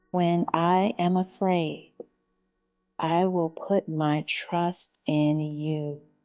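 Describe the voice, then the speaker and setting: A woman speaks at a very slow pace with a fairly low pitch. Her intonation is fairly even and her loudness very even. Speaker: meditation guide. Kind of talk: guided meditation. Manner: slow, soft-spoken.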